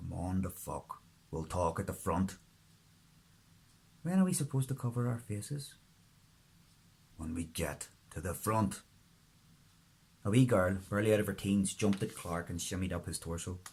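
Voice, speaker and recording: With a Northern Irish accent, a man speaks in a fairly low, somewhat breathy voice with ordinary pitch variation and long, frequent pauses. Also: moderate pace. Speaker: author. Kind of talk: audiobook-style fiction reading.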